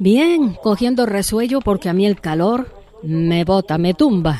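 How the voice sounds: Dry and close with no echo, a woman's voice sits at medium pitch with a dark, mellow tone, lively intonation, and a fairly slow pace.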